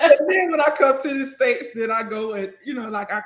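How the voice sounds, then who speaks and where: At a fairly quick pace, a woman talks in an animated tone with a Southern US accent. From US South. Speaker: accountant and business owner. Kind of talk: casual interview chat. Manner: animated, conversational.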